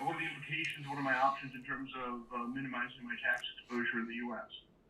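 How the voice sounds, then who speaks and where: Very fast speech from a man at medium pitch, fairly even intonation, with noticeable background noise. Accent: American. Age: 50s. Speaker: seminar attendee asking question. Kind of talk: Q&A question. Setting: online video call.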